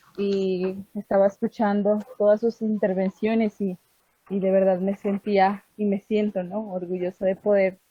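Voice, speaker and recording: A woman with a medium pitch talks at a fairly slow pace in a somewhat breathy, dark, mellow tone with monotone, flat intonation, and the sound is dry and close with no echo. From Putumayo, Colombia (Inga people). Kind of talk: online group meeting contribution. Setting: video call from home. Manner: hesitant, many fillers.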